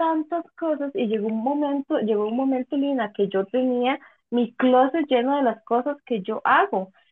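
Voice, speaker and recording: A woman with a Costa Rican accent speaks at a high pitch and a moderate pace, with ordinary pitch variation and hardly any pauses. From Costa Rica, San José. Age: 30s. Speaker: quilter. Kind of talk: casual interview.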